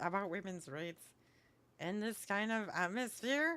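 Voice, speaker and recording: Bright and sharp in tone, a woman speaks at a medium pitch. Her intonation is lively and her pace fairly slow. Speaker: video game streamer. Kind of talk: casual chat. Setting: livestream. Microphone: sounds like broken microphone.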